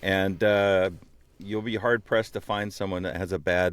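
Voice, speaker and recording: In a very clean recording with a silent background, a man with a very deep, low voice speaks at a moderate pace. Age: old. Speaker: podcast host and voice actor. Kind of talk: podcast interview.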